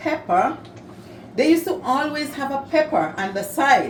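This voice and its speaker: The woman speaks at a fairly slow pace. Audible room echo and noticeable background noise are present. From Saint Vincent and the Grenadines. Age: old. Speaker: cooking video host. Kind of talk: cooking tutorial. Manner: casual, conversational.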